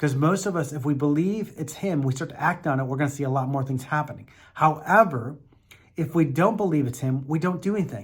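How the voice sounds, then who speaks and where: A man with a fairly high, somewhat breathy voice speaks at a fairly quick pace. His pitch variation is ordinary. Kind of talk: motivational teaching talk. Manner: fast; earnest, encouraging.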